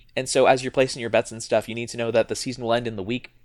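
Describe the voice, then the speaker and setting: Medium-pitched male speech on a very clean recording against a silent background. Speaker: podcast co-host. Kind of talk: casual chat. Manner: halting.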